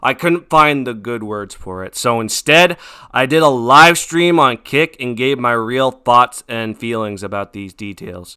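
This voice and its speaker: A man's bright, sharp voice at medium pitch, fairly slow but lively in intonation, on a very clean recording with a silent background. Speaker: youtube commentator. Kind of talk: commentary video intro and stream reaction. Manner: unscripted, casual; occasional stutter.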